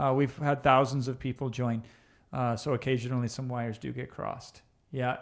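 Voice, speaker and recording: In an Iowa accent, a man speaks with monotone, flat intonation on a very clean recording with a silent background. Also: medium pitch for a man, fairly quick pace. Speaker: online business coach. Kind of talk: live stream Q&A reading chat. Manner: casual, conversational.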